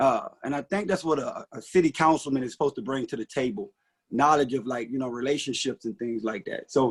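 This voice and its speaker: A man talks at a fairly quick pace with fairly high pitch and ordinary pitch variation. The sound is dry and close with no echo. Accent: Mississippi. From US South, rural Mississippi. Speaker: city council candidate. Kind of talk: candidate forum speech. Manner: hesitant, many fillers.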